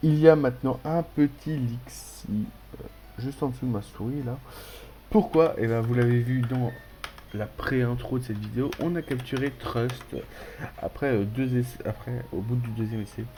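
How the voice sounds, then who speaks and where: A man at medium pitch, fairly slow pace and ordinary pitch variation, with music in the background. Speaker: gaming youtuber. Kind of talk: let's play commentary. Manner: animated.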